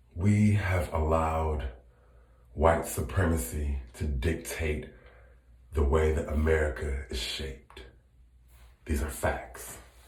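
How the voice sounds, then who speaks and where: Amid audible room echo and noticeable background noise, a man with a very deep, low voice speaks at a very slow pace with long, frequent pauses and ordinary pitch variation. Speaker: social media commentator. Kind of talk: casual chat; impassioned monologue. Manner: loud when passionate; animated.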